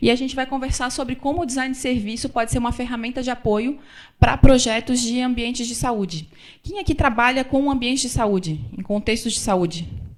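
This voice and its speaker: Her voice sits high. The woman's pitch shows ordinary variation. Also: fairly quick pace. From Florianópolis, southern Brazil. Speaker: business consultant. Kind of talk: lecture. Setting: stage with audience.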